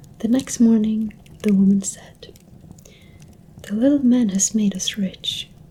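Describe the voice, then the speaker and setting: Soft-spoken delivery at a fairly slow pace. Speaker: ASMR content creator. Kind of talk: ASMR soft-spoken story reading. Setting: close-mic home recording with a desktop microphone. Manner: soft-spoken, quiet.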